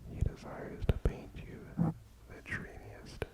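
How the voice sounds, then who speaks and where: A man whispering at a very slow pace over noticeable background noise. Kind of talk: sleep story. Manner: soft-spoken.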